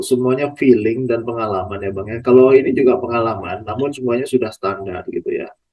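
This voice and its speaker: In a normal speaking voice, a man talks at a medium pitch and a moderate pace. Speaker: podcast host, plantation traction staff. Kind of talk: casual interview questions.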